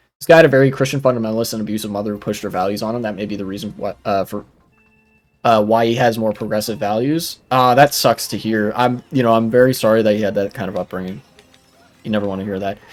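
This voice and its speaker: Over music in the background, a man talks very fast at a fairly low pitch with ordinary pitch variation. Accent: American. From United States. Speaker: streamer reacting to videos. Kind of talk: live stream reaction commentary. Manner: casual with many fillers.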